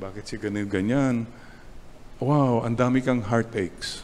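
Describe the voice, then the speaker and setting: Over light background noise, a man with a Filipino accent talks at a moderate pace. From Philippines. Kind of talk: sermon, homily. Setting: church chapel, online Mass. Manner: animated, conversational, preacherly with punchy repeated points; switches between English and Tagalog. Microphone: podium.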